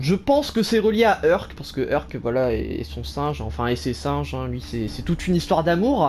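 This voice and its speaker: Hardly pausing at all, a man keeps to a moderate pace. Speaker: gaming YouTuber. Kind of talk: let's play commentary. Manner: animated.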